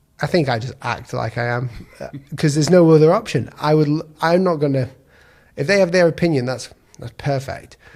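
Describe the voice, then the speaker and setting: In a very clean recording with a silent background, a man with a British accent speaks at a fairly quick pace, his fairly high pitch showing ordinary variation. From Britain. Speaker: graphic design YouTuber. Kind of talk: casual chat.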